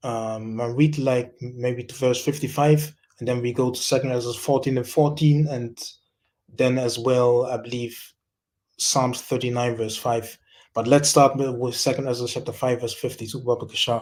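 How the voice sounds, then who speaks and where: A man speaks in a monotone, flat intonation at a medium pitch and moderate pace. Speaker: religious speaker. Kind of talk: scripture teaching. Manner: halting, many fillers and repetitions.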